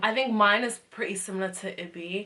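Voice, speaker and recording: A woman with a London accent talks at a fairly quick pace with fairly even intonation over noticeable background noise. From England. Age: 20s. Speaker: medical student. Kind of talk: casual talk to camera.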